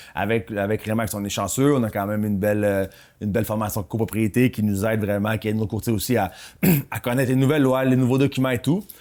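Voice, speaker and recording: A man speaks very fast in a fairly low pitch with fairly even intonation. The recording is very clean, with a silent background. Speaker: real estate broker and podcast co-host. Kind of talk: casual chat.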